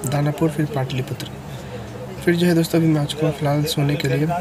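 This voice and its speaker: Noticeable background noise around a man's voice, the sound dry with no echo. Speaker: travel vlogger. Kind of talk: casual vlog chat. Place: train. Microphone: earbuds.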